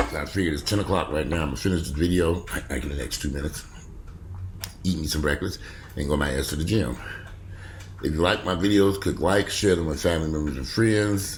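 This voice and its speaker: A man with a very deep, low pitch talks in an animated tone at a very fast pace, broken by long, frequent pauses. Audible room echo surrounds his voice. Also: ordinary pitch variation. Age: 50s. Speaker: vlogger. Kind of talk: casual vlog monologue.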